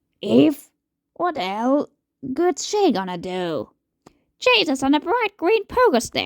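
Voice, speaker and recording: In a raspy, put-on character voice, the speaker moves at a fairly slow pace with long, frequent pauses. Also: woman, high pitch for a woman. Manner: sarcastic, exasperated.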